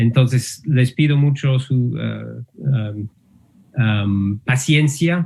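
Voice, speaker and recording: Very slow and somewhat breathy, a man speaks with an English accent. His medium pitch shows ordinary variation. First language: English (speaking Spanish). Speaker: linguistics professor. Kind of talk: lecture. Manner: halting, many fillers.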